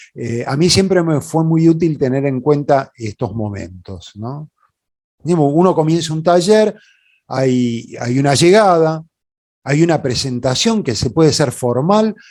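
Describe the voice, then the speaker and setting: A man with a Rioplatense accent talks at a fairly slow pace, pitched fairly high, with lively intonation. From Buenos Aires, Argentina. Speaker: puppeteer and workshop leader. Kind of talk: conference talk. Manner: hesitant, informal.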